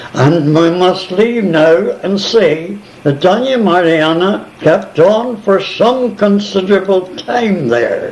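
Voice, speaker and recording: A man's high-pitched voice at a very slow pace with hardly any pauses, very even loudness and ordinary pitch variation, plus noticeable background noise and audible room echo. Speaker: missionary. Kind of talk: oral history storytelling. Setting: multi-purpose room of retirement home. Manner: animated; confident. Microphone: old cassette recording with tape crackle.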